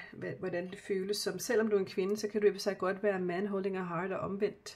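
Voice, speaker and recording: Flat and monotone, a woman speaks at a medium pitch. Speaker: spiritual card reader. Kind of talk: tarot-style card reading. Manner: halting, many fillers.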